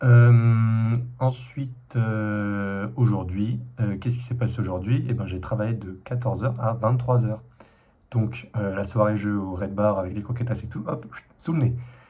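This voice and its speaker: Audible room echo surrounds a man's somewhat breathy voice, which has a dark, mellow tone at a medium pitch. He speaks at a fairly slow pace with fairly even intonation. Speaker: vlogger. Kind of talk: casual vlog monologue. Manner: hesitant, many fillers.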